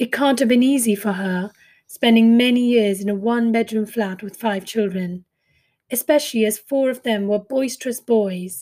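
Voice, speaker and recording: A woman's fairly high voice with a dark, mellow tone, at a moderate pace and with fairly even intonation. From India. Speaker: podcast host and author, former fund manager. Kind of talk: reading a poem and memoir-style solo narration.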